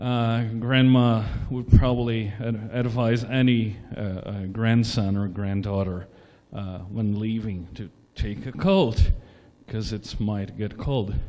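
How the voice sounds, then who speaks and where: There is audible room echo around a man whose dark, mellow tone, fairly low pitch and fairly even intonation come at a very slow pace. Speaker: conference speaker. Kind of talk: lecture. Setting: stage with audience. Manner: hesitant, many fillers.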